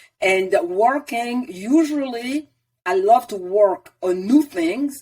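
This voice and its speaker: A woman speaks in a French accent, her fairly high voice moving in very wide pitch swings. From Ivory Coast. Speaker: wellness coach, former engineer. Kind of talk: interview.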